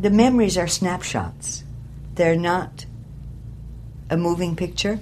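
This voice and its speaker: A woman with a Newfoundland accent talks at a fairly slow pace with long, frequent pauses, amid audible room echo and noticeable background noise. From St. John's, Newfoundland. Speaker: local resident. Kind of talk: interview. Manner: halting.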